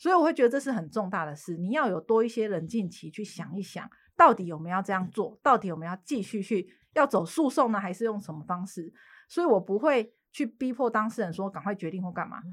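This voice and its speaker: The recording is very clean, and the background is silent. A female speaker goes at a fairly quick pace, her pitch swinging very widely. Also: medium pitch for a woman, big swings in loudness. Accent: Taiwanese. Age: 30s. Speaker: lawyer. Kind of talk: casual chat.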